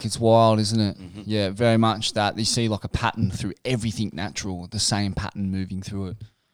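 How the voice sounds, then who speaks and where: On a very clean recording with a silent background, a man with an Australian accent speaks at a fairly quick pace with hardly any pauses and big swings in loudness. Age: 30s. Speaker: surf journalist. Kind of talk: casual chat.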